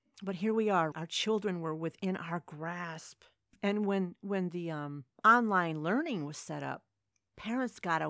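In an ordinary speaking voice, a woman talks at a fairly slow pace with a fairly low pitch and ordinary pitch variation, in a very clean recording with a silent background and a dry, close sound with no echo. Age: 50s. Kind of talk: solo religious commentary.

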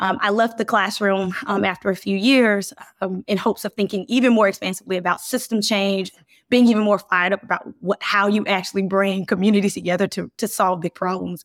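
A woman with an American accent has a normal speaking voice at medium pitch. She moves at a fairly quick pace in a very clean recording with a silent background. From US South, Birmingham, Alabama. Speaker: business executive. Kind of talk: interview.

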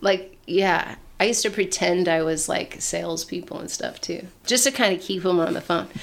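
Noticeable background noise accompanies a woman with an American accent. Her medium-pitched voice moves at a moderate pace with ordinary pitch variation. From US Pacific Northwest (Portland, Oregon). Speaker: artist and creative outreach facilitator. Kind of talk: casual interview.

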